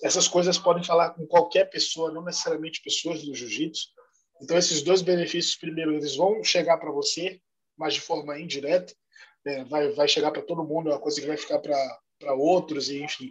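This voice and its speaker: Fairly quick and fairly high in pitch, a man talks in an unremarkable speaking voice. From Salvador, Bahia, Brazil. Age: 30s. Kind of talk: podcast interview.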